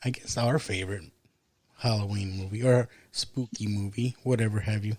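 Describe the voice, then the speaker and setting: Somewhat breathy male speech, fairly low-pitched, with fairly even intonation. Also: moderate pace. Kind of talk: casual chat.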